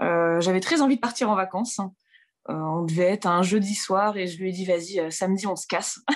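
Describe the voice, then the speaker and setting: A woman with an unremarkable speaking voice talks at a fairly quick pace and medium pitch, with ordinary pitch variation. The background is quiet. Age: 20s. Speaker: interviewee on love story. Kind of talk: personal storytelling interview.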